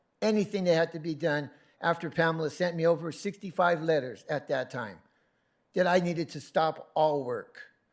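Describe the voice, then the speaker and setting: A man speaks at a moderate pace in a high pitch with ordinary pitch variation. The recording is very clean, with a silent background. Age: 60s. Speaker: member of the public at council meeting. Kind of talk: public comment.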